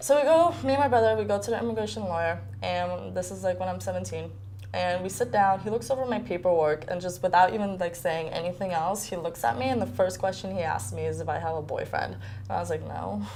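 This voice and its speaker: A woman's very deep, low voice at a very fast pace, with very wide pitch swings and audible room echo. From Poland, raised in US from childhood. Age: 20s. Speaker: university student. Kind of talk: documentary interview. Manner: casual, filler-heavy.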